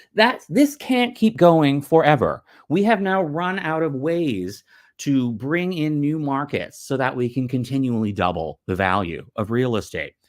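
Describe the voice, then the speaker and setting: A man's fairly high voice with very wide pitch swings at a fairly slow pace, on a very clean recording with a silent background. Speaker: commentary vlogger. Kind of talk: off-the-cuff rant. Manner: halting, stuttering.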